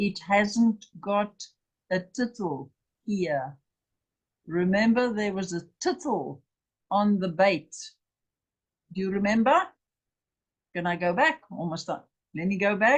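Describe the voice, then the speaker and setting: A woman speaks at a very slow pace, with long, frequent pauses. Her voice sits at a medium pitch, somewhat breathy, with lively intonation. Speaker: Bible teacher. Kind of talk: lecture.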